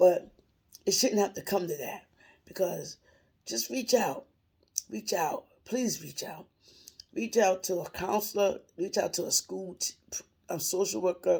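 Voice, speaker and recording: A woman's medium-pitched voice with vocal fry, lively intonation, big swings in loudness, and long, frequent pauses. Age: 60s. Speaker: retired worker sharing religious encouragement. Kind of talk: informal religious monologue.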